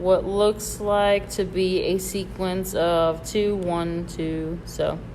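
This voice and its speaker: A woman with an American accent speaks at a very slow pace. Audible room echo and noticeable background noise are present. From Michigan. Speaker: bead store instructor. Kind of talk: live tutorial. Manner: casual, hesitant with fillers.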